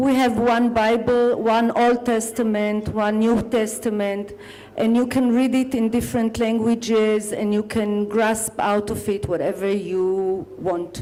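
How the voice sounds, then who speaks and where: A woman with an Israeli accent and fairly high pitch speaks at a fairly slow pace with hardly any pauses, very even loudness and fairly even intonation. Noticeable background noise and audible room echo are present. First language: Hebrew. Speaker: poet and author. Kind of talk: panel discussion at book launch.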